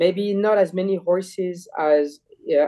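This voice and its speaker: A man talks with a French accent and a dark, mellow tone. His intonation is fairly even. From France. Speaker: jockey. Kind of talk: interview. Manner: halting, many repeated words.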